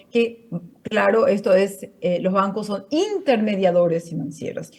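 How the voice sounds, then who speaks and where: A woman speaks at a fairly slow pace. Her voice is fairly high and somewhat breathy. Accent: Portuguese. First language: Portuguese (speaking Spanish). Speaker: finance network coordinator, panel speaker. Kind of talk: conference talk. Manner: halting, many fillers and restarts.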